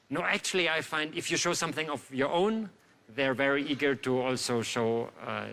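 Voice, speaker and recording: Moderate pace, ordinary pitch variation, in a German accent. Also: man, fairly high pitch for a man. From Germany. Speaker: magician. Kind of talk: casual interview; live magic performance with banter. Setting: stage with audience.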